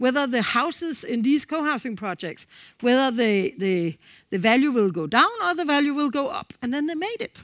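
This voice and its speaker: A woman with a Danish accent speaks in a high voice, her pitch swinging very widely. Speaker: co-housing organization representative. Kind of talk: conference presentation. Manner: fast.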